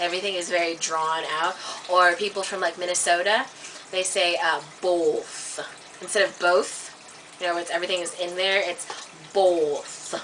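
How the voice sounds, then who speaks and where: Over noticeable background noise, a woman with an American accent speaks at a moderate pace and fairly low pitch, her intonation monotone and flat, with long, frequent pauses. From US South and Midwest. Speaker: vlogger. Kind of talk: casual vlog, accent demonstrations. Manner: halting.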